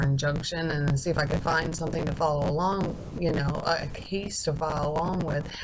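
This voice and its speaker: Quiet and at very deep, low pitch, a woman speaks with fairly even intonation amid noticeable background noise and audible room echo. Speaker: video blogger. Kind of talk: casual monologue.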